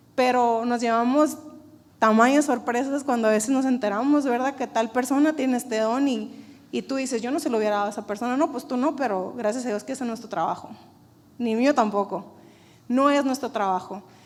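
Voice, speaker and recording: A woman speaks at a fairly quick pace with a high pitch. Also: ordinary pitch variation. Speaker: church preacher. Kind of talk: sermon.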